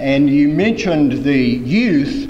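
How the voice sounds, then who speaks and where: Spoken at a very slow pace in a Southern US accent, the voice has audible room echo and noticeable background noise. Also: man. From US South (Mississippi). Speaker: former mayor and transportation advocate. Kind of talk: keynote speech. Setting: conference stage with audience.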